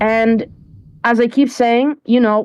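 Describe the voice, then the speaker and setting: A woman with a non-native accent, a dark, mellow tone and a fairly slow pace. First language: not English. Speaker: esports caster. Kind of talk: live commentary.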